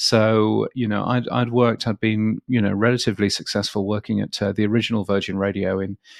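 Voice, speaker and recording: A man with a British accent speaks in a fairly low pitch and a flat monotone, recorded dry and close with no echo against a quiet background. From England. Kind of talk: interview. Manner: halting.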